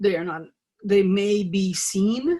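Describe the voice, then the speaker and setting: Somewhat breathy, this woman's voice sits at a medium pitch with a dark, mellow tone. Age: 60s. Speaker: alternative healing teacher. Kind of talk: online class talk. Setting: video call. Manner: halting.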